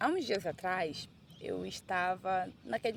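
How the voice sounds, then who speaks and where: The woman's voice sits at a medium pitch. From Brazil, Manaus (Amazonas). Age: 30s. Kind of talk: casual personal vlog. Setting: outdoors on a beach.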